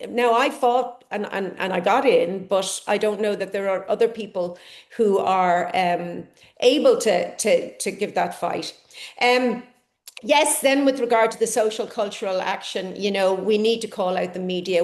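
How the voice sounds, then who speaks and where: A woman speaks at a moderate pace with an Irish accent. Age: 60s. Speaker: conference speaker, ageing researcher. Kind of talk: conference talk.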